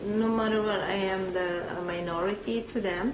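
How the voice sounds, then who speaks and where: Amid noticeable background noise and audible room echo, a woman speaks at a medium pitch and a fairly slow pace with fairly even intonation. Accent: Filipino. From Philippines. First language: Filipino language. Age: 50s. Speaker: immigrant interviewee. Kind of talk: oral history interview.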